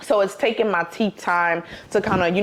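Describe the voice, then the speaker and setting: There is noticeable background noise. Over it, a woman talks. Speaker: vlogger. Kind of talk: casual vlog talk. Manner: relaxed, filler-heavy.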